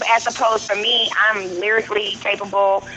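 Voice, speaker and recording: A woman with a St. Louis accent, medium-pitched and flat in intonation, at a fairly quick pace over background music. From US Midwest, St. Louis. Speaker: rapper. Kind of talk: radio interview. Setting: phone call; outdoors on back porch.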